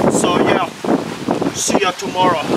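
Loud background noise runs behind a man who speaks at a fairly slow pace, with a dry sound and no echo. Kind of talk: comedic vlog commentary. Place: garden. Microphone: phone near.

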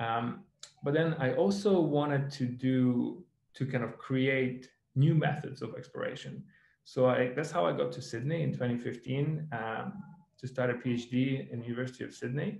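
A man speaks in a somewhat breathy voice with ordinary pitch variation, and the room echo is audible. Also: moderate pace. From Ukraine. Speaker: tech startup founder and geologist. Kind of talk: webinar presentation.

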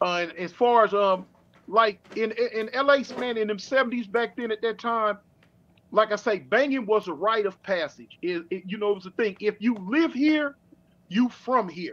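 A man talks in a high pitch with ordinary pitch variation. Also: moderate pace. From Los Angeles. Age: 50s. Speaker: former prison inmate; guest. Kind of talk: interview storytelling. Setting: online livestream. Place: home room. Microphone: webcam.

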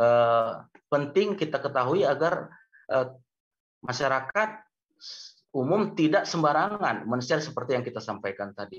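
Somewhat breathy speech with lively intonation moves at a moderate pace, broken by long, frequent pauses, against a quiet background. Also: man, fairly high pitch for a man. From Medan, North Sumatra; North Sumatra, Indonesia. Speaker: university lecturer. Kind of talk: webinar lecture. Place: home room. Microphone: video call.

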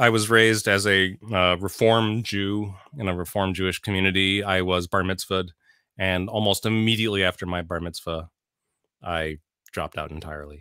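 Against a quiet background, a man with a fairly low pitch and a bright, sharp tone speaks at a moderate pace with fairly even intonation, the sound dry with no echo. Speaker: tech manager and songwriter; interview guest. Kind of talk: interview. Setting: remote call. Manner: thoughtful, halting. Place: home room. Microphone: studio mic.

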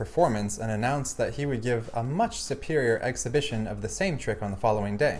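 What we hear is a natural reading voice.

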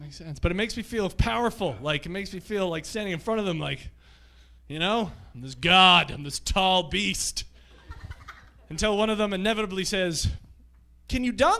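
A man with a high pitch and a bright, sharp tone uses a raised, projected voice, lively intonation, big swings in loudness, and long, frequent pauses. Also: moderate pace. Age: 30s. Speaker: stand-up comedian. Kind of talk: stand-up. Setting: stage with audience. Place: stage. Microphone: handheld.

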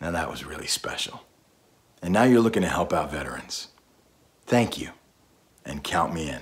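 With a very deep, low pitch, a man talks at a moderate pace, using lively intonation and big swings in loudness. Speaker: voice actor; war veteran. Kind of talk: casual talk to camera. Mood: earnest, friendly, a bit playful. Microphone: phone near.

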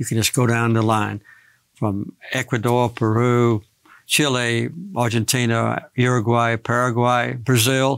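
Fairly slow and in a flat monotone, the voice keeps a very even loudness over a quiet background. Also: man. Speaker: interviewee. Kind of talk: interview answer. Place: studio. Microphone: lapel.

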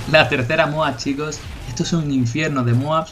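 A man speaks at a fairly high pitch and a fairly slow pace, with monotone, flat intonation. Noticeable background noise runs beneath his voice. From Spain, Cádiz (Andalusia). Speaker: gaming youtuber. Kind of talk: gameplay commentary. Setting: home recording. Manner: halting, repeats words.

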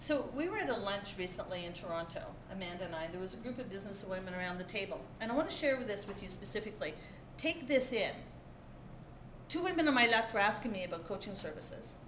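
A woman talks at a very fast pace. Noticeable background noise is present. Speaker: keynote speaker, business coach. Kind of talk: motivational keynote talk. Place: hall. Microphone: camera far.

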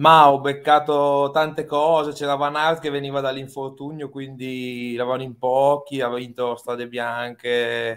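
In an Emilian accent, a man with a fairly high pitch speaks at a fairly slow pace with hardly any pauses and monotone, flat intonation against a quiet background. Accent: Emilian Italian. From Reggio Emilia, Italy; Italy. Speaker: fantasy cycling player. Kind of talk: casual chat. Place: home room. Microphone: video call.

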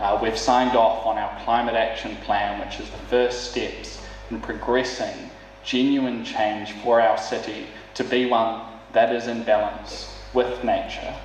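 A man is heard with audible room echo and light background noise. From New Zealand. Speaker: city councillor and mayoral candidate. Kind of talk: candidate forum speech. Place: hall.

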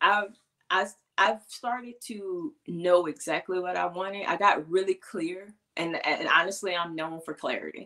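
Bright and sharp in tone, a woman speaks at a moderate pace with ordinary pitch variation over a quiet background. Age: 30s. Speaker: embodiment coach. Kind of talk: casual chat. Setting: video call. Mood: reflective, personal. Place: home room. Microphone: webcam.

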